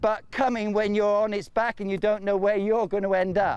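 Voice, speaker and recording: A high-pitched man in a British accent at a moderate pace, over a quiet background. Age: 60s. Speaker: horse trainer. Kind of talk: tutorial.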